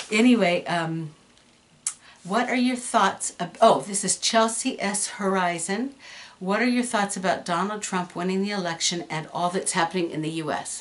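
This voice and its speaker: A woman at a moderate pace and medium pitch, with ordinary pitch variation and noticeable background noise. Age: 60s. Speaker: YouTuber. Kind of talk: casual Q&A video. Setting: room at home. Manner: hesitant, many fillers.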